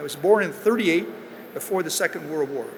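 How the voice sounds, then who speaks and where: There is noticeable background noise as a man speaks with an American accent. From US Midwest. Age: 80s+. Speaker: business executive. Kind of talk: commencement speech. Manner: halting.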